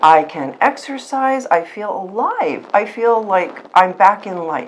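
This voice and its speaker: Noticeable background noise sits behind a woman at a medium pitch. She talks at a very slow pace with very wide pitch swings. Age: 60s. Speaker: patient sharing testimonial. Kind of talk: testimony. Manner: halting.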